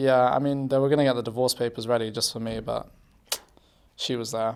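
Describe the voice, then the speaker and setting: In a British accent, a man talks at a moderate pace and medium pitch, his intonation monotone and flat, with long, frequent pauses. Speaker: pro esports player. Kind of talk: casual interview.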